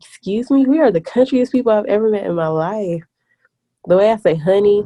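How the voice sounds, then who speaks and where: With a Southern US accent, a woman talks at a moderate pace in a medium pitch, her intonation lively. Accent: Southern country twang. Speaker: podcast co-host. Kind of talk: casual chat.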